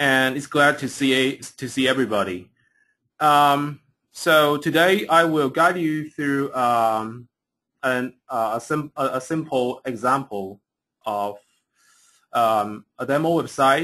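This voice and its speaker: Over a quiet background, a bright, sharp tone comes at a very slow pace with ordinary pitch variation. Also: man, fairly high pitch for a man. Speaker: software engineer presenting a webinar. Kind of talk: tutorial. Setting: online webinar. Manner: halting, many fillers and repetitions.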